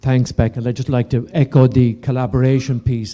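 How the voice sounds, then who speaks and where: At a moderate pace, the speaker has a dark, mellow tone and an Irish accent. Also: man. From Ireland. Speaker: property developer. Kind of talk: conference panel talk. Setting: conference stage with audience.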